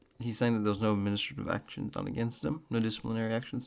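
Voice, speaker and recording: A man speaks quietly at a medium pitch. His pitch varies in an ordinary way. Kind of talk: casual reaction commentary. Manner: quiet, low-energy.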